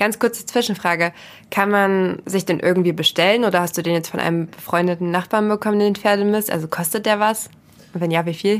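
On a very clean recording with a silent background, a woman with a normal speaking voice talks at a fairly quick pace in a medium pitch, using fairly even intonation. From rural Germany. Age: 20s. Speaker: podcast host. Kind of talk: casual interview.

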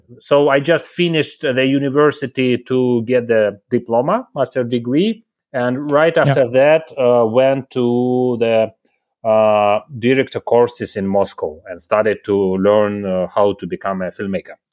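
A very slow man at medium pitch with ordinary pitch variation, on a very clean recording with a silent background. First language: Russian (speaking German). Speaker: film director. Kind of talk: interview.

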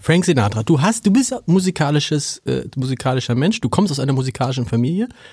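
This man talks fairly quickly in a fairly high pitch, his tone dark and mellow. His intonation is lively, and his voice is somewhat breathy. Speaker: newspaper editor and podcast host. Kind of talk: interview. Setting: studio.

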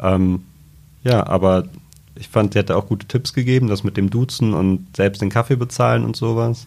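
In a plain, everyday voice, a man talks at a moderate pace with a fairly low pitch and ordinary pitch variation. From Trier. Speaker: podcast host, journalist. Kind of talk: casual interview.

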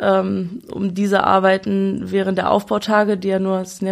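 A woman speaks at a medium pitch. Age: 20s. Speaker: fairground showwoman. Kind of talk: casual interview.

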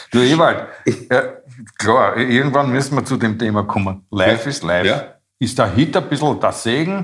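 Using an ordinary speaking voice, a man at a medium pitch talks at a moderate pace with lively intonation. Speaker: podcast co-host. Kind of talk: casual chat. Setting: studio.

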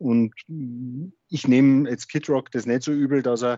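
Medium pitch, fairly even intonation and a moderate pace in a man's a plain, everyday voice. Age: 40s. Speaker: district administrator and hobby guitarist. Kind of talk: casual interview.

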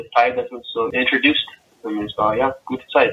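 A man speaks at a moderate pace. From Germany until age 11, then USA. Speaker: professional basketball player. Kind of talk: interview. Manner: halting, searches for German words.

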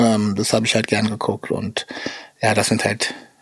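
At a moderate pace, a man talks in a medium pitch. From Berlin. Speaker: battle rapper. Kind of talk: interview.

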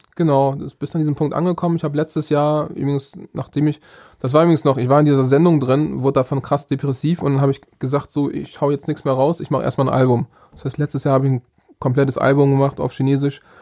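A man rattles along at a very fast pace with a fairly high pitch. His tone is dark and mellow, and his intonation is monotone and flat. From northern Germany, Bremerhaven. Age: 30s. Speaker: rapper. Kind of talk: interview.

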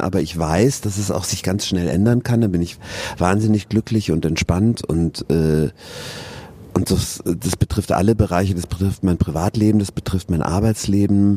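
Noticeable background noise behind a man with a fairly low pitch, ordinary pitch variation and a moderate pace. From southern Germany, Regensburg (Bavaria). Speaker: stage actor. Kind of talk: casual interview. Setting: theatre foyer.

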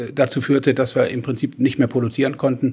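This man talks in a monotone, flat way at a medium pitch. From western Germany. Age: 70s. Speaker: chamber of commerce chairman, former executive. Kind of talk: panel debate. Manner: hesitant, many filler sounds.

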